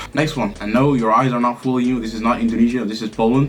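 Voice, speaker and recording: A man at a medium pitch, animated and very fast, over noticeable background noise. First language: Arabic. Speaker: language YouTuber. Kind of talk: casual tier-list commentary.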